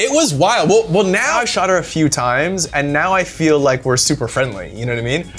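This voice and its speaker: A man's pitch swings very widely while music sounds in the background. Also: fairly high pitch for a man, fairly quick pace, hardly any pauses. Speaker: celebrity red-carpet camera operator. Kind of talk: casual interview chat. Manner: casual, filler-heavy; fast when nervous.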